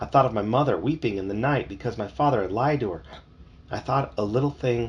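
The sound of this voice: The clip features an unforced reading voice.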